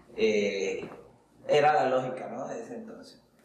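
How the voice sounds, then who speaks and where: There is audible room echo around this man's voice. Noticeable background noise runs under it as well. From Colombia, Barranquilla. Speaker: business coach. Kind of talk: solo podcast monologue, personal story. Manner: hesitant, many fillers.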